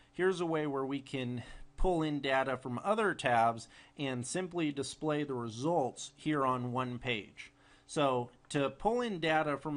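Speaking in a plain, everyday voice at a moderate pace, a man keeps a fairly high pitch with ordinary pitch variation over a quiet background. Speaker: software tutorial presenter. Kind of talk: tutorial. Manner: casual with frequent fillers.

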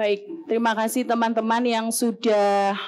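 A woman speaks with a fairly high pitch and monotone, flat intonation. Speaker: university lecturer and moderator. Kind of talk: event moderation. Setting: stage with audience in amphitheatre. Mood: friendly, lively, gesturing. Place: hall. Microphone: podium.

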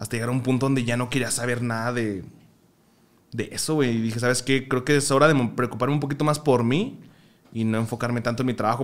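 A man races through his words at a very fast pace, his pitch varying in an ordinary way. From Mexico, Michoacán. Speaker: podcast guest, streamer. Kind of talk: casual chat. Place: home room. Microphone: studio mic.

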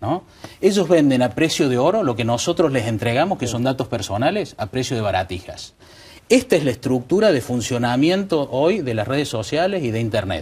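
Somewhat breathy, a man talks at a fairly quick pace with very wide pitch swings. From Córdoba, Argentina. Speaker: lawyer; guest. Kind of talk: TV panel discussion. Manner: halting. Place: studio. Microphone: lapel.

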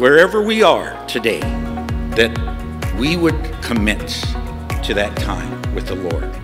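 Clear music can be heard in the background. Over it, a woman speaks fairly slowly. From Bulgaria. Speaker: motivational speaker and preacher. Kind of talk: sermon. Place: hall. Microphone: podium.

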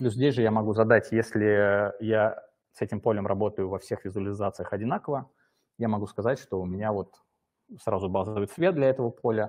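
A man with a plain, everyday voice, fairly low pitch and fairly even intonation, at a fairly quick pace over a quiet background. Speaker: software development lead. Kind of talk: live software demo. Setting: live stream. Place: home room.

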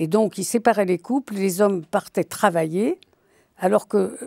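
Over a quiet background, a woman speaks at a fairly slow pace in a dark, mellow tone, the sound dry with no echo. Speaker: writer and biographer; guest. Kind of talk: interview. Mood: reflective, telling a personal memory. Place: studio. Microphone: lapel.

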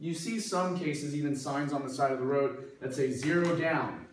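Audible room echo and light background noise surround the recording. A man speaks at a moderate pace with fairly even intonation. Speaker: math instructor. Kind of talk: lecture. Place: classroom. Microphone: camera far.

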